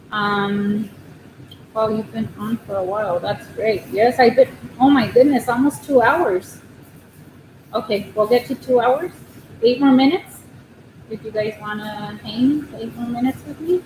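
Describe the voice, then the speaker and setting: Over noticeable background noise, a woman with an American accent speaks quietly at a fairly slow pace, with long, frequent pauses and big swings in loudness. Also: fairly high pitch for a woman, ordinary pitch variation. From Southern California. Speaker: crochet livestreamer. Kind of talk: casual livestream chat. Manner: quiet, shy.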